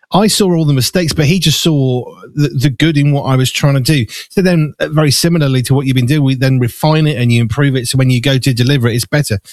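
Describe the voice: A man speaks fast in a fairly high pitch with ordinary pitch variation. The tone is slightly mellow and the sound is dry and close, with no echo.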